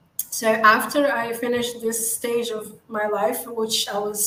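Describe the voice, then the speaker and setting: A woman with an Arabic accent speaks at a fairly slow pace with a fairly high pitch and monotone, flat intonation. Noticeable background noise and audible room echo fill the recording. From Morocco. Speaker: digital marketing agency founder. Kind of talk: interview.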